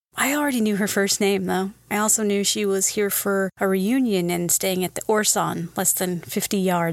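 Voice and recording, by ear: The intonation is fairly even. It's reading aloud in a natural voice.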